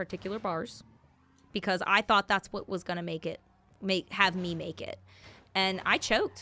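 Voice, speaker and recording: Loud, fairly quick speech comes through with a bright, sharp tone. The recording is very clean, with a silent background. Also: woman. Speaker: singer and bandleader. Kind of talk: casual interview while gaming. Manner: animated.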